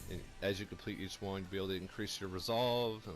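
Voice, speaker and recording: Music plays in the background as a man speaks. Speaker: gamer, video game reviewer. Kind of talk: game review talk over gameplay. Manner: upbeat, excited.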